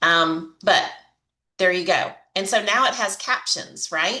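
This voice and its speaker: A woman's bright, sharp voice in a Southern accent, at a fairly slow pace. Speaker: online marketing coach. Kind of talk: tutorial. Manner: casual, chatty.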